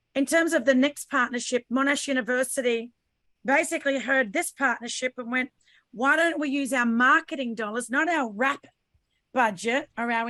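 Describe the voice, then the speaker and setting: A woman's high-pitched voice with a bright, sharp tone and an Australian accent, at a moderate pace, in dry, close sound without echo. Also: very clean recording, silent background. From Australia, Sydney/Brisbane. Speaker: podcaster and business owner. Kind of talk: panel discussion.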